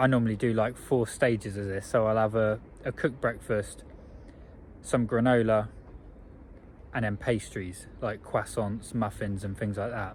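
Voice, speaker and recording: Speaking in an English accent, a man with a fairly low voice keeps a monotone, flat intonation at a moderate pace, with long, frequent pauses. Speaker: vlogger. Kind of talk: video diary.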